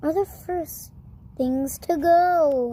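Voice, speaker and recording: Growling in a put-on character voice, a woman uses a high pitch with ordinary pitch variation. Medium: read story. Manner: snarling, sneering.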